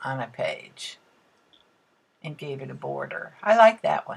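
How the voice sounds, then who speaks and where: A woman speaks at a fairly slow pace with vocal fry. Her tone is relaxed. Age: 70s. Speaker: art hobbyist video blogger. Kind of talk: casual art tutorial vlog. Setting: at home art table. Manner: relaxed, halting with fillers.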